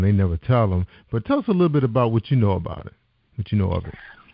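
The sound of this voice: A man at a fast pace and fairly low pitch, with a dry, close sound and no echo.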